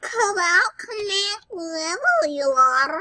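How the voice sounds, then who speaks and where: Using a put-on character voice, a woman speaks at an extremely high pitch with lively intonation. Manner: silly, taunting.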